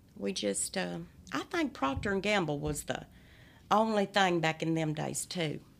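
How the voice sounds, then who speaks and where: A woman with an Appalachian accent at a moderate pace, on a very clean recording with a silent background. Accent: Appalachian twang. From Appalachia, eastern Kentucky hollers. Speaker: storyteller guest. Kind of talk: casual interview chat. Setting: studio.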